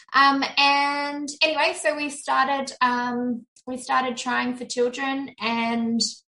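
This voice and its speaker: A woman's high voice in an Australian accent, bright and sharp in tone, at a very slow pace. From Sydney, Australia. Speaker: virtual assistant business owner. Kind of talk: interview, personal testimony.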